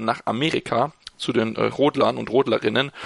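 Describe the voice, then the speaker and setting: A man speaks at a fairly quick pace with vocal fry and a medium pitch. His intonation is fairly even, and the sound is dry and close with no echo. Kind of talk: casual chat.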